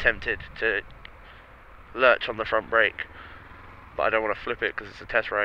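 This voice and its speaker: This is a man speaking. He has an English accent. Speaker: motorcycle vlogger. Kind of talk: motorcycle test ride commentary. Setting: riding a motorcycle outdoors.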